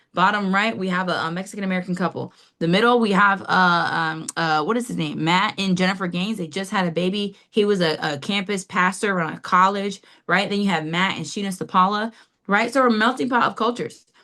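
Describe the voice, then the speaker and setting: A woman's energetic, very fast delivery at medium pitch, bright and sharp in tone with ordinary pitch variation, over a quiet background. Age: 30s. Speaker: financial services agent. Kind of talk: business presentation on video call. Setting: video call.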